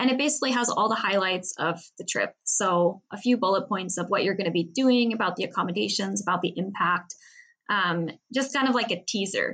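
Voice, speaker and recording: She has a normal speaking voice with an American accent, medium in pitch. The woman talks at a fairly quick pace with ordinary pitch variation. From US Pacific Northwest, Seattle. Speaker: travel entrepreneur. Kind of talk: interview.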